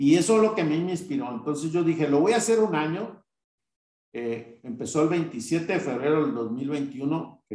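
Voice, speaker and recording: The intonation is lively. The pace is moderate. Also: man. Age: 50s. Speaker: business owner. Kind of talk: interview. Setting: live online recording. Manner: halting.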